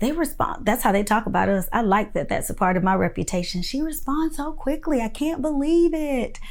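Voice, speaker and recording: With audible room echo around her, a woman speaks in an animated tone with lively intonation. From Florida (Winter Haven). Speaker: direct primary care physician teaching a course. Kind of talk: online course lecture.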